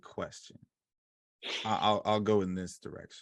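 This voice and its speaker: At a moderate pace, a man speaks in a fairly low pitch with an ordinary speaking voice. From Ohio, US. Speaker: track and field coach. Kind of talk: casual chat.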